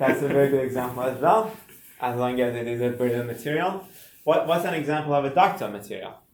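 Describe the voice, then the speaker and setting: The speech races along at a very fast pace with lively intonation. Room echo is audible. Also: man, fairly high pitch for a man. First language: not English. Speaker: university instructor. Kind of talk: lecture. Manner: halting.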